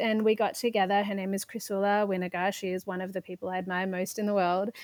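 A woman with an Australian accent speaks at a fairly quick pace in a medium pitch, her intonation monotone and flat. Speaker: parenting startup founder. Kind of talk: casual interview conversation.

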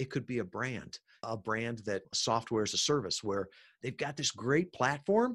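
A man with an American accent has an ordinary speaking voice, a medium pitch and lively intonation against a quiet background. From US Midwest, Chicago suburbs. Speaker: podcast marketing entrepreneur. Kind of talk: interview.

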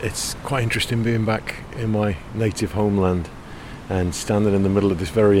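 Against noticeable background noise, a man with a fairly low pitch speaks with fairly even intonation. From England. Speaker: podcast host. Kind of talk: narration. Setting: outdoors.

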